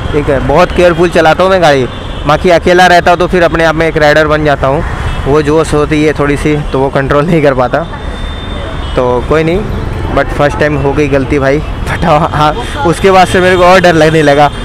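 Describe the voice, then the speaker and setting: A man speaks at a moderate pace with fairly even intonation and very even loudness, the sound dry with no echo but with noticeable background noise. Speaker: bike taxi rider vlogger. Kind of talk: casual vlog chat. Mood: rueful after small accident. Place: motorbike.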